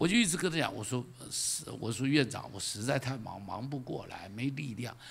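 With an animated tone, a man speaks at a moderate pace in a fairly high pitch. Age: 70s. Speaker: pastor. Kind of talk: sermon. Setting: church. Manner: animated, repetitive emphasis. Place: stage. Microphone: handheld.

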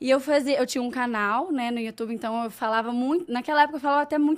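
Ordinary pitch variation in a woman's high voice. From Brazil, Minas Gerais. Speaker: fashion influencer. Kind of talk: casual interview. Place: studio. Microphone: studio mic.

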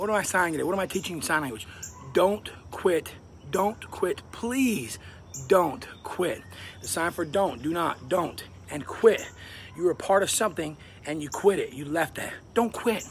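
With music in the background, a man talks at a moderate pace with lively intonation and long, frequent pauses. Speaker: sign language teacher. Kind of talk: motivational tutorial vlog. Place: garden. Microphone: phone near.

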